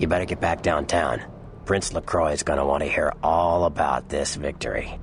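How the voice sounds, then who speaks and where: Clear background noise sits behind a man doing a put-on character voice. He uses a very deep, low pitch at a moderate pace. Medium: video game. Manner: casual, breezy.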